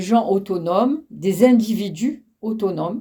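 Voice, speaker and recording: A woman's fairly high voice in a dark, mellow tone. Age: 80s+. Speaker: elderly interviewee. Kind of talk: interview. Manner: halting.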